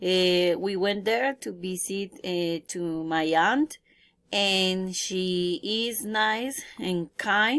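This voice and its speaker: In a Colombian accent, a woman speaks very slowly at a medium pitch on a very clean recording with a silent background. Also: ordinary pitch variation. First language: Spanish. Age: 20s. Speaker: English learner. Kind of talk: self-introduction practice. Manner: halting.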